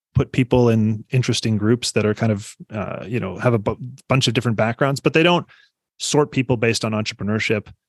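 With an American accent, a man speaks at a moderate pace and medium pitch, with ordinary pitch variation and a dry, close sound with no echo. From Iowa, US Midwest. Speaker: economist. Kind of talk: interview.

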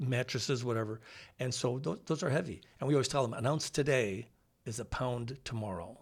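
A man's somewhat breathy voice at medium pitch, with an American accent and a fairly quick pace. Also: ordinary pitch variation, very clean recording, silent background. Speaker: dentist and former radio host. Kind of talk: casual chat. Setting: studio.

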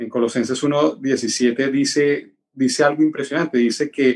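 At a fairly slow pace, a man talks in an ordinary speaking voice, fairly high in pitch and fairly even in intonation. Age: 40s. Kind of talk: casual chat.

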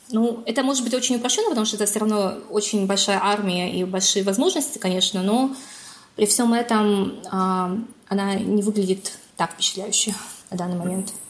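A woman speaks at a moderate pace with a medium pitch and fairly even intonation. Noticeable background noise runs underneath her voice. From Kazakhstan. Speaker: political science researcher and assistant professor. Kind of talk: interview.

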